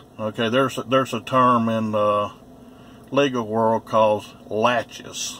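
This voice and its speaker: Bright and sharp in tone, a man at a medium pitch speaks fairly slowly with fairly even intonation. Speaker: first amendment auditor vlogger. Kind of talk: casual monologue to camera.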